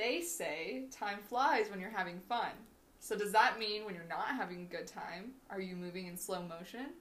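A woman with an American accent and an ordinary speaking voice talks at a moderate pace and medium pitch, with big swings in loudness. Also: ordinary pitch variation. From Washington state, US. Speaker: podcast co-host, grad student. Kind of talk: scripted reading of prepared topic; casual chat.

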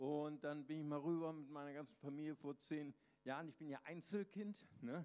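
A man talks in an unremarkable speaking voice at a fairly high pitch. His pace is moderate and his intonation fairly even. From Brazil (Recife). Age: 50s. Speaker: pastor. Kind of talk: sermon.

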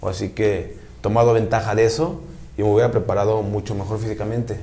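At a fairly quick pace, a man talks with fairly low pitch and ordinary pitch variation, with audible room echo around him. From Mexico City. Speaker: American football player. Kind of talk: interview.

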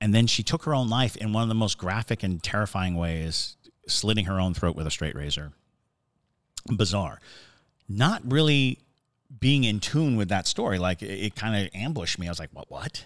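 A man with a fairly low pitch speaks at a moderate pace in an animated tone with lively intonation, on a very clean recording with a silent background. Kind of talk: casual chat, ghost story telling. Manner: animated, jokey, storytelling.

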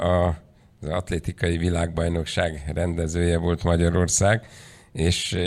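Very deep and low in pitch, a man speaks at a fairly slow pace. The recording is very clean with a silent background. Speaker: panel chair and moderator. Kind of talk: formal conference moderating. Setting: conference hall.

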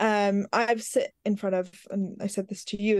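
A woman speaks in an American accent. Her pitch is fairly high. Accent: London with American touches. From West London. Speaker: radio presenter and content producer. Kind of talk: casual interview.

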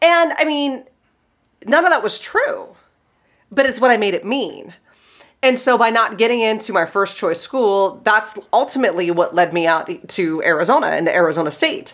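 This woman's pitch is fairly high. It swings very widely. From Pittsburgh, US. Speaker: life coach and podcast host. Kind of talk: casual interview chat.

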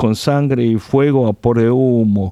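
Speaking with a Korean accent at a fairly slow pace, a man has a dark, mellow tone and ordinary pitch variation. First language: Korean (speaking Spanish). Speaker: pastor. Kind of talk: radio interview.

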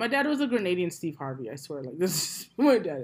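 In a very clean recording with a silent background, a woman with an American accent talks fairly quickly at a fairly low pitch. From US, New York (Brooklyn). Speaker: podcaster. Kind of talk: casual chat. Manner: loud.

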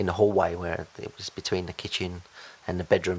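The intonation is monotone and flat, at a moderate pace. Noticeable background noise runs underneath. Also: man. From Bosnia and Herzegovina, moved to UK as child. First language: Bosnian. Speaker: business owner. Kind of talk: interview.

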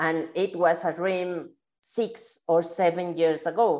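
Against a quiet background, a woman with a Spanish accent and a medium pitch speaks at a very slow pace. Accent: Spanish-speaking accent in English. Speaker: podcast host. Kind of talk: interview. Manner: halting.

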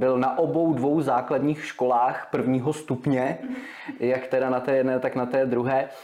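Over noticeable background noise, a man talks at a moderate pace and a medium pitch. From Czechia, Vysočina region (Humpolec). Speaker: radio presenter and DJ. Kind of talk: casual interview chat.

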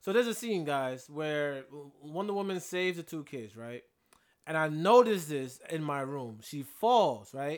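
An unremarkable speaking voice from a man, fairly high in pitch, with lively intonation, a moderate pace and big swings in loudness. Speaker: podcast co-host. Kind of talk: casual banter, movie review. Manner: joking, interrupting.

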